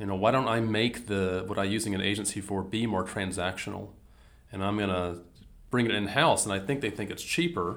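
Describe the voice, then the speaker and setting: Talking at a fairly quick pace, this man sounds quick. He has a Southern US accent. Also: fairly low pitch for a man, ordinary pitch variation. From US South, Mississippi. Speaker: business strategy consultant. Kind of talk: casual interview conversation.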